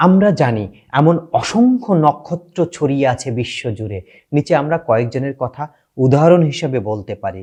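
Very wide pitch swings mark this man's fairly high, somewhat breathy voice, which has a dark, mellow tone. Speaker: YouTube channel host. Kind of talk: scripted narration; direct appeal to viewers. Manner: emotional, declamatory.

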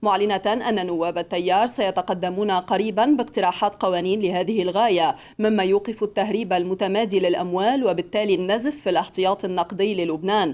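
Hardly pausing at all, a woman speaks at a moderate pace with ordinary pitch variation. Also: very even loudness. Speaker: TV news anchor. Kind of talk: television evening news read. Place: studio. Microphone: podium.

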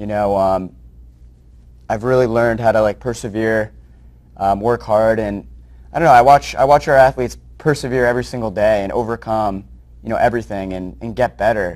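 A man with an American accent at a moderate pace, with ordinary pitch variation. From New Jersey. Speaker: nonprofit founder; interview guest. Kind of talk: interview. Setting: studio. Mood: sincere, reflective. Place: studio. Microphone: lapel.

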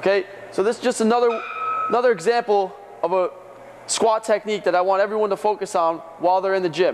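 A man's voice, high in pitch, comes through noticeable background noise. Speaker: trainer. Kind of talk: tutorial. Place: gym.

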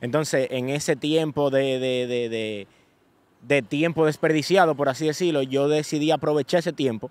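A man with a normal speaking voice talks at a fairly quick pace and fairly high pitch, with ordinary pitch variation and a dry sound with no echo. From Dominican Republic, Santo Domingo; Dominican Republic. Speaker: social media influencer. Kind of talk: casual interview. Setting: New York. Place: open country. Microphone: studio mic.

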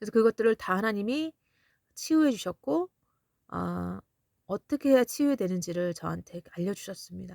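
A woman speaks in a calm tone at a moderate pace, with long, frequent pauses. Her voice sounds dry and close, with no echo. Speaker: missionary preacher. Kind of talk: revelation testimony with prayer. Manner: halting with many fillers.

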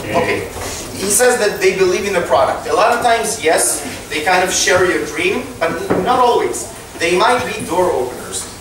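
A man's high-pitched voice with an Israeli accent, at a moderate pace with ordinary pitch variation, amid noticeable background noise and audible room echo. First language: Hebrew. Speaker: startup co-founder and tech executive. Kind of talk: lecture. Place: hall.

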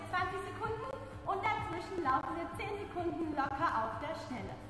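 Through strong room echo and noticeable background noise, a woman's voice comes across raised and projected. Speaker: fitness coach. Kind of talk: workout instruction. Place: hall.

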